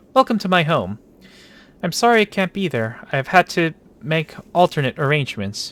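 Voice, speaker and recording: A shaky, put-on character voice from a man, fairly high in pitch with very wide pitch swings, at a moderate pace, in a dry, close sound with no echo. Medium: game stream. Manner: shaky, nervous.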